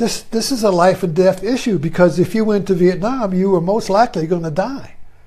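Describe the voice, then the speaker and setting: A man with an American accent speaks at a fairly quick pace. His voice sits high for a man, with ordinary pitch variation. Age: 80s+. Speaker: retired teacher and video commentator. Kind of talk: casual monologue. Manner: halting, many fillers.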